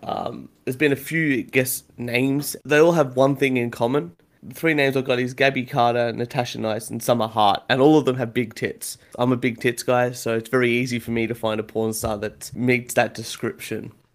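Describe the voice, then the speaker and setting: A man with an Australian accent speaks at a fairly quick pace, with hardly any pauses. His pitch is medium and his intonation fairly even. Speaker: podcast host. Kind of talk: casual chat. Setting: video call.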